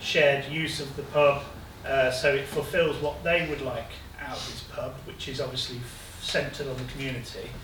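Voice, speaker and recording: With noticeable background noise and audible room echo, a man speaks at a moderate pace in a fairly high pitch, his intonation monotone and flat while his loudness swings widely. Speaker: prospective pub owner presenting plans. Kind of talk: public presentation to community. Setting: village hall with live audience.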